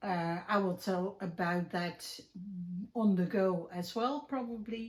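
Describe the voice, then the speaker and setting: A woman's somewhat breathy, medium-pitched voice in a Dutch accent, very slow, with ordinary pitch variation. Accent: Dutch, clearly recognizable. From Netherlands. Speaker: crafting YouTuber and podcaster. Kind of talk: casual chat. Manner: hesitant, many fillers.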